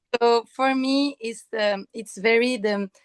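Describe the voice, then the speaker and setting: In a Quebec accent, a woman speaks at a very slow pace, the sound dry and close with no echo. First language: French. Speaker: actress. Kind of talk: interview. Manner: halting, many hesitations.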